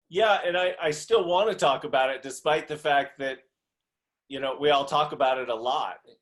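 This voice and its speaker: This man has a normal speaking voice with a fairly high pitch. He moves at a moderate pace with ordinary pitch variation. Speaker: executive business coach. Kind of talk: interview conversation.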